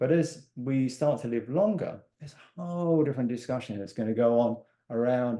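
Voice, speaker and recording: A man's medium-pitched voice with an English accent, dark, mellow tone and ordinary pitch variation. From England. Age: 60s. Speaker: life and business coach. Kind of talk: podcast interview.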